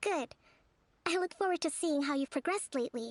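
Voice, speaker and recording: In a put-on character voice, a woman speaks squeaky and high-pitched at a fairly quick pace, with lively intonation, a calm tone and very even loudness. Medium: video game. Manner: calm, measured, polite.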